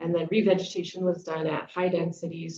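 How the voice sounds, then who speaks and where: At a moderate pace, a woman speaks with vocal fry. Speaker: conference presenter, restoration scientist. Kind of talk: conference talk. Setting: conference session. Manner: many filler words.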